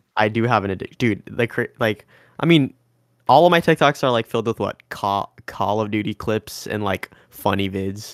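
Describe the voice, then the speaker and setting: An ordinary speaking voice belongs to a man with an American accent, a fairly low pitch and ordinary pitch variation, talking at a moderate pace. The sound is dry and close with no echo, on a very clean recording with a silent background. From Washington State, Bellevue area. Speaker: podcast co-host. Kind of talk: casual chat.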